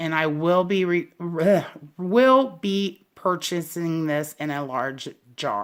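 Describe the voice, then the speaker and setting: Very slowly, a woman with a slight Southern US accent speaks at a fairly low pitch with lively intonation. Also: very clean recording, silent background. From US South. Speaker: candle reviewer, YouTuber. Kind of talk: casual product review. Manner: rambling, hesitant with fillers.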